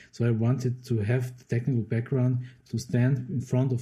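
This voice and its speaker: A man talks at a moderate pace with a German accent. His medium-pitched voice sounds somewhat breathy, with a dark, mellow tone. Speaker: composer. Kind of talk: interview. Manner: halting.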